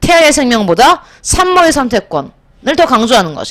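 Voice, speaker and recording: With an animated tone and very wide pitch swings, a woman speaks at a moderate pace. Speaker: high school social studies teacher. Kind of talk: lecture. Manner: animated, rhetorical questions.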